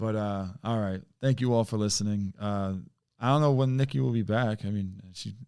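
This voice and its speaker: A man's dark, mellow voice at a fairly low pitch. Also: ordinary pitch variation, very clean recording, silent background. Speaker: podcast host. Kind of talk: casual chat. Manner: stutters; fast.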